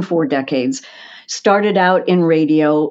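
Her delivery is fairly slow and unhurried. This woman's intonation rises and falls in a lively way. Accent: American. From Philadelphia, US. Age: 60s. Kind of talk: interview conversation. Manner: over-enunciating, precise diction.

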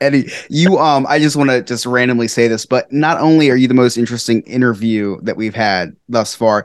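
Lively intonation shapes a man's very fast, medium-pitched speech. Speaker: podcast co-host. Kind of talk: casual interview chat.

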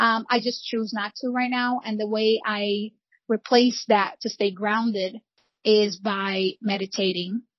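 Delivered with a Portuguese accent, the speech moves at a fairly slow pace in a monotone, flat intonation. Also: woman, fairly high pitch for a woman. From Brazil, Rio de Janeiro. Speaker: real estate broker. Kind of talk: interview.

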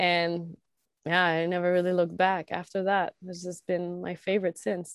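With a Quebec accent, a woman speaks at a moderate pace in a fairly low pitch, her intonation monotone and flat. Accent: Quebecois French-accented English. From Quebec, rural northeast of Quebec City. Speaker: pro snowboarder and environmental activist. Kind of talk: casual interview chat.

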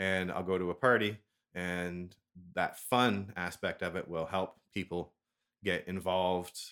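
Speaking fairly slowly with a Canadian accent, a man uses a very deep, low pitch and monotone, flat intonation in a very clean recording with a silent background. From Ontario, Canada. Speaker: language exchange co-host and gamer. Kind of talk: casual chat, interview.

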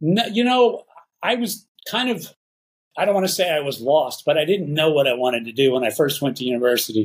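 This man speaks with a Texan accent at a fairly high pitch and a fairly quick pace. His pitch swings very widely. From Texas, Dallas Fort Worth area. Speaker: photojournalist and artist. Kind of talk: interview.

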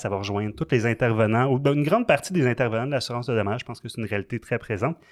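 Speaking at a very fast pace, a man with a Quebec accent uses a medium pitch and ordinary pitch variation. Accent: Québécois French. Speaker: podcast host, insurance broker. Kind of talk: casual interview.

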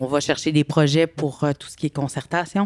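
A woman's very deep, low voice in monotone, flat intonation, with a dry, close sound and no echo. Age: 40s. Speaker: women's organization coordinator. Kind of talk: interview.

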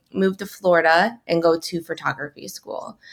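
A normal speaking voice with an American accent at a fairly quick pace, on a very clean recording against a silent background. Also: woman. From Michigan, US Midwest. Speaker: fashion entrepreneur and activist. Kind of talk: interview, personal testimony.

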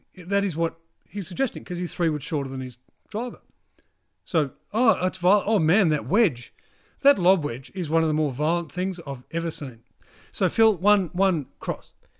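A New Zealand accent with lively intonation at a moderate pace, in a very clean recording over a silent background. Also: man, high pitch for a man. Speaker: golf podcast co-host. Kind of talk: casual chat. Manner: animated.

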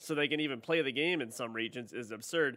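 An ordinary speaking voice from a man, pitched fairly high. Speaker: podcast host. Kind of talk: casual chat.

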